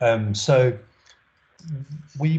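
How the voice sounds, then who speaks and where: A man's voice is somewhat breathy, with a dark, mellow tone. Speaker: web consultant presenting at a company webinar. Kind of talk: presentation with slides on a video call. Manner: fast.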